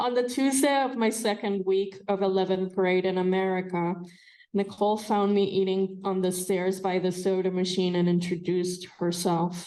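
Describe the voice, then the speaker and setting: This woman has a Spanish accent and a medium pitch. Her tone is dark and mellow, her intonation fairly even. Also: moderate pace, very even loudness. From Colombia. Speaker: fiction writer and professor. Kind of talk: reading aloud; casual introduction before reading.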